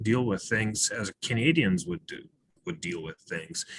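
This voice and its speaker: A man with a non-native accent and medium pitch speaks in a bright, sharp tone, recorded with a dry, close sound and no echo. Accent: foreign. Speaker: webinar speaker. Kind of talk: webinar talk.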